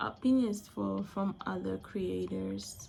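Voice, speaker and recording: Music plays in the background while a woman talks at a very slow pace. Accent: Angolan. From Angola. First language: Portuguese. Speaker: vlogger. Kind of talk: casual monologue vlog. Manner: halting, with frequent self-corrections.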